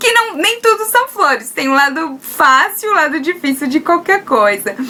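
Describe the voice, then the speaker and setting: In a strong Brazilian accent, a woman uses a raised, projected voice at an extremely high pitch with very wide pitch swings. Her pace is moderate, and there is noticeable background noise. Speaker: video blogger, trained teacher. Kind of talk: casual vlog talk. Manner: halting, frequent hesitations.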